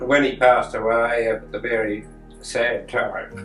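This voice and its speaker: Over noticeable background noise, a man with an Australian accent speaks at medium pitch in a flat monotone. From Brisbane, Australia. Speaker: eldest brother recounting family history. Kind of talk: casual storytelling interview. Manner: halting.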